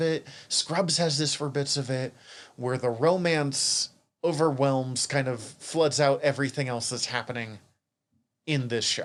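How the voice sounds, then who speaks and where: A man with a Montana accent and ordinary pitch variation. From Montana, US. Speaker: podcast co-host. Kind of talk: casual chat.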